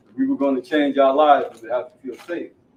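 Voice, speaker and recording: A man speaks in an ordinary speaking voice, fairly high in pitch, with ordinary pitch variation. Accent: American. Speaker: formerly incarcerated person, former resident. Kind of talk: scripted reading, staged testimony.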